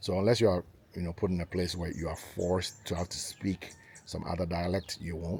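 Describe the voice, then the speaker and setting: Moderately paced speech from a man with a very deep, low pitch. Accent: Ghanaian. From Ghana, grew up in Accra and Takoradi. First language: Ga. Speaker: vlogger building a house. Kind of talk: casual vlog talk to camera. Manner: many filler ums, hesitant.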